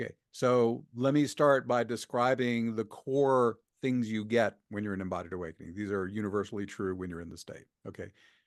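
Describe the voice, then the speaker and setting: A man with an ordinary speaking voice talks at a fairly quick pace, his pitch medium with ordinary variation. His loudness swings widely against a quiet background. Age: 60s. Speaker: shamanic healer and spiritual teacher. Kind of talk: interview.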